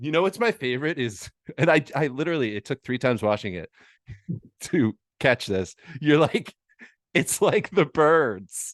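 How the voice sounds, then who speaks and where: Over a quiet background, a man with a fairly high pitch and vocal fry makes very wide pitch swings. He speaks at a moderate pace with long, frequent pauses, in a dry, close sound with no echo. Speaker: podcast host and comedian. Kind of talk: casual chat. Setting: roadside podcast at gas station.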